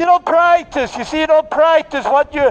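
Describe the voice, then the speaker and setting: The voice is loud. Its intonation stays fairly even. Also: man. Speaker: street preacher. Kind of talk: open-air street preaching to passers-by. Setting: outdoors in a city street. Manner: loud, forceful, argumentative. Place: street.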